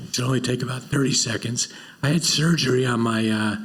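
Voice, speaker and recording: Breathy and medium-pitched, a man talks with ordinary pitch variation amid noticeable background noise and audible room echo. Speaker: panel moderator. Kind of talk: panel discussion.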